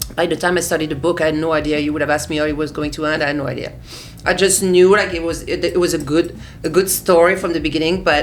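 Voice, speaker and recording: A woman with a French accent talks at a very fast pace in a monotone, flat intonation. Noticeable background noise and audible room echo surround her voice. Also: fairly low pitch for a woman. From France. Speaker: artist, designer and author. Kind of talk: interview. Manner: halting, frequent repetitions.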